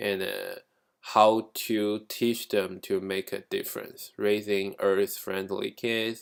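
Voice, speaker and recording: The speaker is a man. He has a Chinese accent. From China. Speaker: graduate student. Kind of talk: class presentation. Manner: halting, with fillers.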